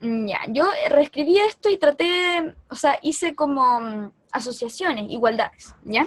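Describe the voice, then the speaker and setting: A woman with a Chilean accent, high-pitched and lively in intonation, at a fairly slow pace. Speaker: math tutor. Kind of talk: lecture.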